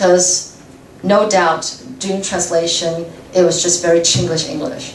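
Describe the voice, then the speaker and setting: A woman at a fairly low pitch and fairly slow pace, with ordinary pitch variation, noticeable background noise and audible room echo. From Taiwan. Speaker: radio translator and host. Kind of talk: guest talk with Q&A. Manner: stutters, many fillers.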